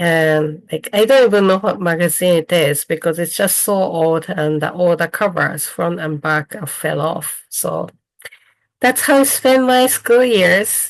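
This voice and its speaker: A woman with a Japanese accent, fairly low in pitch, at a fairly slow pace with lively intonation. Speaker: weaver and dyer, craft teacher. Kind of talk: online presentation. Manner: halting.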